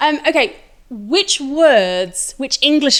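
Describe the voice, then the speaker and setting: Very wide pitch swings in a woman's speech. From Yorkshire, northern England. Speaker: podcast host. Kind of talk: casual chat. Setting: guest's home.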